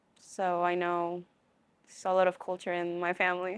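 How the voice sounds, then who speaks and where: At a moderate pace, a woman speaks at a medium pitch, the sound dry and close with no echo. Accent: American. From US. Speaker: college student. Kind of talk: interview.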